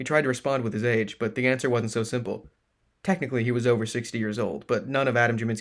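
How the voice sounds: A natural reading voice with fairly even intonation over a quiet background.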